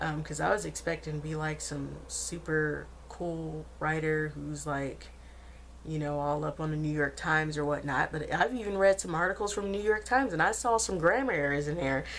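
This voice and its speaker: This woman speaks in an American accent at a moderate pace. Audible room echo surrounds her voice. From Arkansas, US South. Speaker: vlogger. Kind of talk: casual vlog monologue. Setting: at home. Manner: chatty, many fillers.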